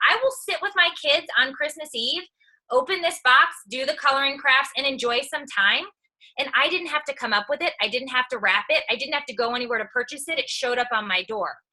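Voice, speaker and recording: A woman speaks in a raised, projected voice at a high pitch with a bright, sharp tone. Her delivery is animated, with lively intonation and a fairly quick pace. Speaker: entertainer and social media personality. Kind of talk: motivational talk on a team call. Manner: loud, outspoken.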